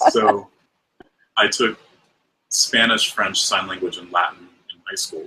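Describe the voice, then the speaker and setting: At a moderate pace, a man talks with a Mid-Atlantic US accent. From US Mid-Atlantic. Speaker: podcast guest, fiber arts personality. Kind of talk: casual interview chat.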